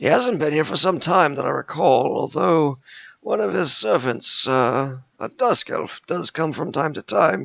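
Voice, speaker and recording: A put-on character voice, raspy in texture, at a moderate pace. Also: man, fairly high pitch for a man. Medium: actual play. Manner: rambling, genial, absent-minded.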